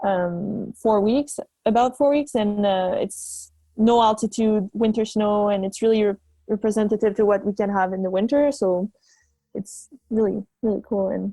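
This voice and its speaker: A woman with a Quebec accent has a medium-pitched, somewhat breathy voice with a dark, mellow tone and fairly even intonation. The sound is dry and close with no echo, against a quiet background. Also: moderate pace. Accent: Québécois French-accented English. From Quebec, Canada. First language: French. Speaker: alpine skier, Olympian. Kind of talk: casual interview chat.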